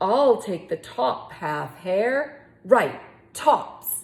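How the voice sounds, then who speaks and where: A woman puts on a character voice, talking at a fairly high pitch and a very slow pace. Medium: read story. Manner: slow, grumbling.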